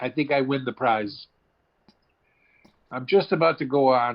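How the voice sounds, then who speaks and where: Here a man speaks at a moderate pace. His pitch is medium and varies in an ordinary way. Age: 60s. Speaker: comedian and actor. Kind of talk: casual chat.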